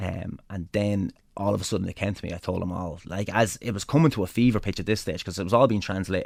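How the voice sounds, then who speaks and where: Very fast speech from a man with an Irish accent, fairly low in pitch with ordinary pitch variation, in a very clean recording with a silent background. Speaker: pro wrestler. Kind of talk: interview storytelling. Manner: animated; talkative.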